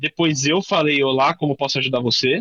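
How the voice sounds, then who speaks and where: A man with a fairly high pitch talks in a dry, close sound with no echo. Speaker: workshop instructor, tech professional. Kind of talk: workshop tutorial. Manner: fast; casual, filler-heavy.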